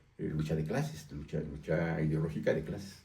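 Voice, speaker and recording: A man speaks at a fairly quick pace with lively intonation and a dark, mellow tone. His voice is somewhat breathy, and room echo is audible. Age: 60s. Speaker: newspaper editor and political activist. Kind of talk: interview.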